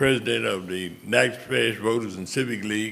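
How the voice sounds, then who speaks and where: In a Louisiana accent, a man speaks at medium pitch with a bright, sharp tone and vocal fry. Audible room echo surrounds his voice. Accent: US Southern (Louisiana). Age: 70s. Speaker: retired civic leader. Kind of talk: speech at public meeting. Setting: city council meeting.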